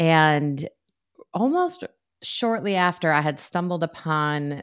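Against a quiet background, a woman talks at a fairly slow pace with an American accent. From New York, US. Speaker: therapist, author and professor.

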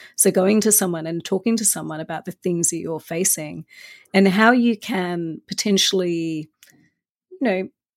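A woman at a medium pitch and moderate pace, ordinary pitch variation, dry and close with no echo, on a very clean recording with a silent background. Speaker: senior in-house lawyer. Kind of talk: interview conversation.

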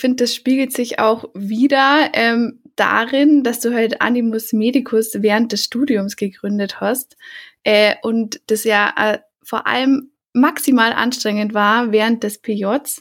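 A woman talks very slowly in a fairly high voice, keeping her intonation fairly even. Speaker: podcast host, veterinary student. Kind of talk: casual interview.

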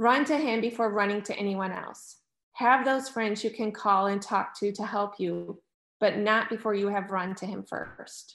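Against a quiet background, a woman speaks at a medium pitch and a moderate pace. Her intonation is fairly even. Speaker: churchgoer giving a faith testimony. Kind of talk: testimony.

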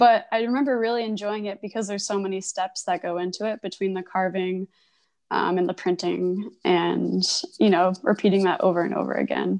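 In a plain, everyday voice, a woman with an American accent talks at a fairly quick pace and medium pitch with fairly even intonation over a quiet background. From Connecticut. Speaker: printmaker and illustrator. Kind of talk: interview.

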